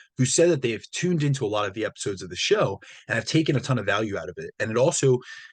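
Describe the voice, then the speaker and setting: A somewhat breathy man's voice, medium in pitch, with lively intonation and a very fast pace against a quiet background. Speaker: fitness coach and podcast host. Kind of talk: solo podcast monologue.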